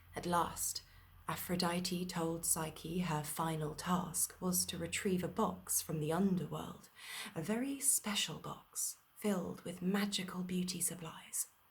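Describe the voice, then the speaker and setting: A soft-spoken woman talks at a fairly slow pace, somewhat breathy. Her pitch is fairly low and her intonation fairly even. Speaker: actor and storyteller. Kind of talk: bedtime story reading. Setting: video call party.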